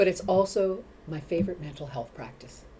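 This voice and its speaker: Ordinary pitch variation marks a woman's speech, which moves at a moderate pace. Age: 50s. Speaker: mental health advocate, dog walker. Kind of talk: interview chat. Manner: animated; halting, many repeats.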